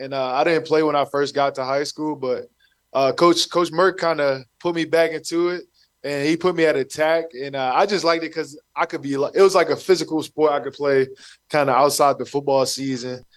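A man with an ordinary speaking voice and an American accent speaks at a fairly quick pace, his fairly high pitch held in fairly even intonation. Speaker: professional football player. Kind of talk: casual radio interview.

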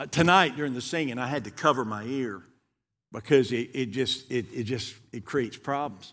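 This is a very clean recording with a silent background. The pace is moderate, and the pitch varies in an ordinary way. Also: man, medium pitch for a man. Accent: Southern US. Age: 60s. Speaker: guest preacher. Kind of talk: sermon. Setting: church.

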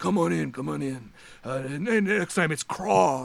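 A man's put-on character voice at medium pitch, moderate in pace, with very wide pitch swings. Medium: actual play. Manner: friendly, laid-back.

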